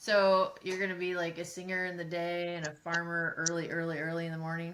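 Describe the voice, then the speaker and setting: A woman's fairly low, monotone voice at a fairly quick pace, with audible room echo and noticeable background noise. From rural farming community. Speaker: podcast co-host, app company executive. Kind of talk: casual interview.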